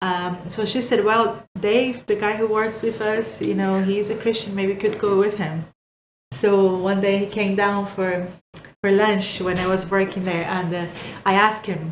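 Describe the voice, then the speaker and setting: In a Portuguese accent, a woman speaks at a moderate pace with medium pitch. Her intonation is fairly even, and the room echo is audible. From Brazil. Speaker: vlogger. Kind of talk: interview.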